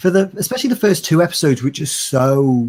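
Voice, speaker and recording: A man with a dark, mellow tone speaks at a fairly quick pace, somewhat breathy, with lively intonation. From outside the US. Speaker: YouTube commentator. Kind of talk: casual chat.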